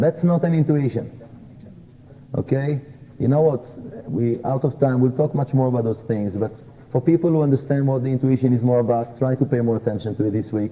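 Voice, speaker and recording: Somewhat breathy and in a non-native accent, the speaker moves at a fairly quick pace broken by long, frequent pauses. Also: man, medium pitch for a man, ordinary pitch variation. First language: not English. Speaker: kabbalah teacher. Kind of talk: lecture.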